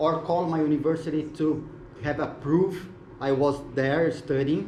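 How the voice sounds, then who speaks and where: A man's fairly high voice at a fairly slow pace, with audible room echo and noticeable background noise. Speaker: web3 mentor presenting at tech event. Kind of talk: short conference presentation.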